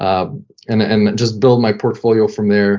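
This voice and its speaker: Speaking in a French Canadian accent, a man keeps a moderate pace. His pitch is medium and his intonation fairly even. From Quebec (French Canada). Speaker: sports team creative director, former pro hockey player. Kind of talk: casual interview.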